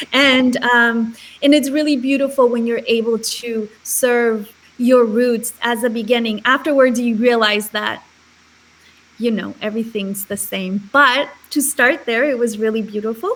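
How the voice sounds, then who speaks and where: In a Spanish accent, a woman talks at a fairly slow pace with fairly high pitch and fairly even intonation. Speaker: charity founder. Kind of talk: interview.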